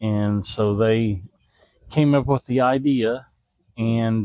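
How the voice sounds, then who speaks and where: Speaking with a Southern US accent, a man uses ordinary pitch variation. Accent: Southern twang. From Indiana, Kentucky family. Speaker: veterans charity ambassador. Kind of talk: interview. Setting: outdoors at golf outing.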